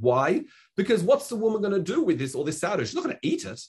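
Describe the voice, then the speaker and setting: A man talks with an Australian accent. His pitch swings very widely. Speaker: Talmud teacher. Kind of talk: lecture. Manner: halting.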